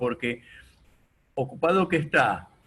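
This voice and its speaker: Here a man speaks at a fairly slow pace. His bright, sharp tone carries ordinary pitch variation. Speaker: radio host. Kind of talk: radio interview questions.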